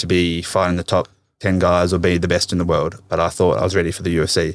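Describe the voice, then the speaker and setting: A man speaks at a very fast pace with an Australian accent. His pitch is very deep and low, and the recording is very clean with a silent background. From Tasmania, Australia. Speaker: professional MMA fighter. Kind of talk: casual interview. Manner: laid-back.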